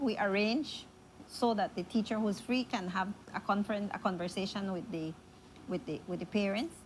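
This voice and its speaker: Speech in a Spanish accent comes at a moderate pace with lively intonation. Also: woman. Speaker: school principal. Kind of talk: interview.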